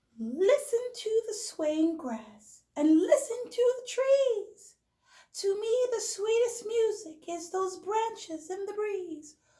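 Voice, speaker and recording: A woman does a squeaky, put-on character voice at an extremely high pitch. She goes very slowly, her intonation lively. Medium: read story.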